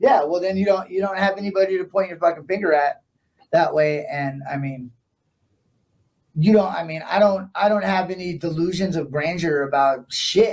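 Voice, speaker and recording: A man with an American accent speaks at a high pitch and a moderate pace, with ordinary pitch variation. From San Francisco Bay Area, California. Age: 40s. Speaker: punk musician. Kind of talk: casual chat. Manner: animated.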